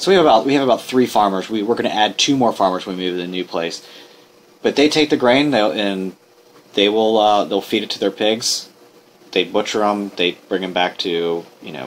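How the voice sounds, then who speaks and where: A man with a fairly low voice speaks at a fairly quick pace and with lively intonation. Noticeable background noise is present. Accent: American. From Norfolk, Virginia. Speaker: craft brewery owner. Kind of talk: interview. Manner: casual, with filler words.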